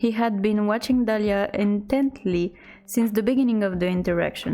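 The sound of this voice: The reading voice is unforced, with ordinary pitch variation.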